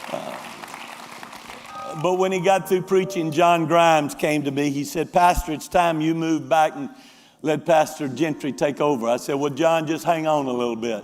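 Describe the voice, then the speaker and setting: Over music in the background, a man with fairly high pitch talks at a fairly slow pace with ordinary pitch variation. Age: 70s. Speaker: senior pastor. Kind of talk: church announcement. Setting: church service with congregation.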